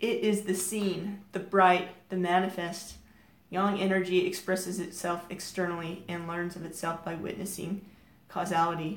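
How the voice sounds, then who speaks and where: Audible room echo surrounds a woman of medium pitch who speaks at a moderate pace with monotone, flat intonation. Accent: American. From United States. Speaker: crystal healing teacher. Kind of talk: reading aloud from crystal card guidebook.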